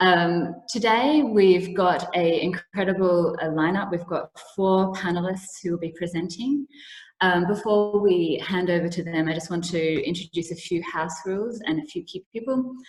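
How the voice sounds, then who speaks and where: A woman with an Australian accent speaks at a medium pitch and a moderate pace. Her voice is somewhat breathy, with ordinary pitch variation. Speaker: event host. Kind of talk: online seminar introduction. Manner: hesitant, many fillers.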